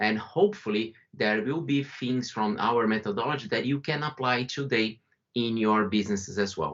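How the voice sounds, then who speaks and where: With a Brazilian accent, a man talks at a moderate pace with ordinary pitch variation. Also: medium pitch for a man. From Brazil, São Paulo. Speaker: company founder and CEO. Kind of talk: webinar presentation.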